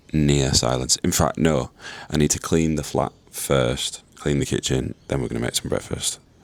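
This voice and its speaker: A man's very deep, low voice at a moderate pace, with fairly even intonation over noticeable background noise. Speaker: fitness coach and vlogger. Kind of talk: vlog narration. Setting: at home, kitchen.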